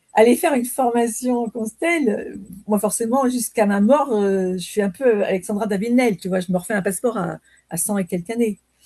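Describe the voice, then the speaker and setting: A dark, mellow voice talks at a fairly quick pace in a dry, close sound with no echo. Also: woman, fairly high pitch for a woman, ordinary pitch variation. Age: 60s. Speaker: training participant. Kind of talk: casual chat. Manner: halting.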